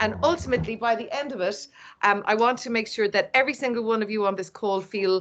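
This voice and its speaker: A woman talks at a fairly quick pace. Her intonation is lively, and the background is quiet. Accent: Irish. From Ireland, East Cork. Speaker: event host. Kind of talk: online event presentation. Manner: animated.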